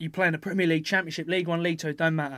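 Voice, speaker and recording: Speaking with a southern English accent, a man with a high-pitched voice keeps a fairly even intonation on a very clean recording with a silent background. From southern England (Epsom, Surrey). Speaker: professional rugby player. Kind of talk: casual chat.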